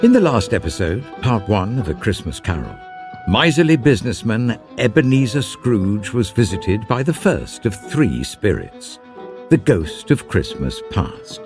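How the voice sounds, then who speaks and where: A man talks with very wide pitch swings while music plays in the background. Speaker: narrator. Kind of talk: classic ghost story reading. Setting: studio.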